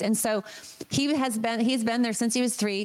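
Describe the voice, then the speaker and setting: A woman's fairly high-pitched voice amid noticeable background noise. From Maine. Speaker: real estate agent and parent activist. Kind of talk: interview.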